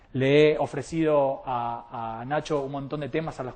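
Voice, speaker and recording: With an Argentine accent, the speaker uses ordinary pitch variation over a quiet background. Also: man. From Argentina. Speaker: molecular biologist and speaker. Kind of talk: public talk.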